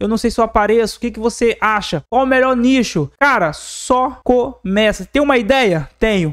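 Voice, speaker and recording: In a very clean recording with a silent background, a man with a Brazilian accent and an extremely high-pitched voice speaks at a moderate pace with an animated tone, ordinary pitch variation and hardly any pauses. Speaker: digital marketing YouTuber. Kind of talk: casual tutorial to camera. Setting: home studio with acoustic foam.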